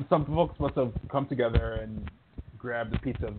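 A man speaks at a moderate pace in a medium pitch. Noticeable background noise runs behind him. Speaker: co-host correspondent. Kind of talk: casual chat.

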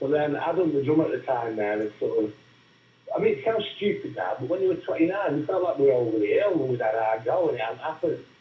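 A man rattles along at a very fast pace while noticeable background noise plays behind him. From Crewe, Cheshire, England. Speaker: musician. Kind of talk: interview.

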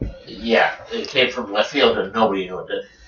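A man talks over noticeable background noise. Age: 50s. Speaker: technical trader. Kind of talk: casual chat. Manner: halting.

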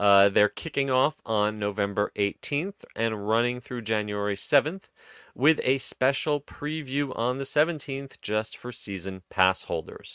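Bright, sharp tone with an American accent and lively intonation, hardly pausing at all. The pace is fairly slow, and the sound is dry and close with no echo. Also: man, medium pitch for a man, very clean recording, silent background. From New Jersey, US. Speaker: podcast host. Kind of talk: casual chat.

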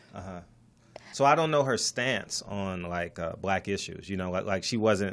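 In a very clean recording against a silent background, a normal speaking voice goes along at a fairly quick pace. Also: man. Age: 40s. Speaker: real estate investor and podcaster. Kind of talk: casual interview. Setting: studio.

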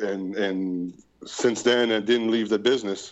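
A man speaks with a Quebec French accent. His voice is fairly low-pitched, with fairly even intonation. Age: 40s. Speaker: projectionist. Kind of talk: casual chat. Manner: halting.

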